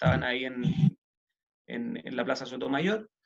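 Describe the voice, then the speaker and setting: Using lively intonation, a man talks at a medium pitch with a Chilean accent. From Chile, Santiago. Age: 30s. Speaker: city councillor and lawyer. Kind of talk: interview. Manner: casual, many fillers.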